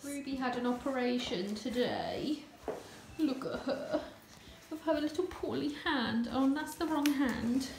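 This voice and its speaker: A woman with a South East English accent speaks in a tired tone at a high pitch with ordinary pitch variation. She goes at a fairly slow pace over noticeable background noise. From South East England. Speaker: vlogger. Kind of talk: casual vlog monologue. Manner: tired, chatty.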